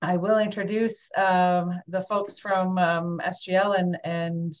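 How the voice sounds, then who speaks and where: Heard over a quiet background, a normal speaking voice carries fairly even intonation. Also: woman. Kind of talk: meeting presentation introduction. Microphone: video call.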